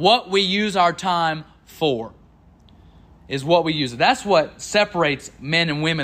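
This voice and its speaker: In a very clean recording with a silent background, a man projects a raised voice with a bright, sharp tone. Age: 20s. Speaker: preacher. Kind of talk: sermon. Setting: church.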